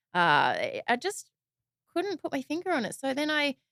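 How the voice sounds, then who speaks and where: A woman with an Australian accent talks in a dry, close sound that has no echo. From Sydney, Australia. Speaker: podcast host. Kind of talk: podcast interview. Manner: casual, filler-heavy.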